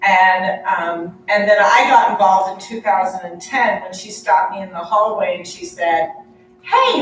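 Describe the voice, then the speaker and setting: A woman's moderately paced speech carries audible room echo and noticeable background noise. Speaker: nurse practitioner and nursing professor. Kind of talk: conference presentation.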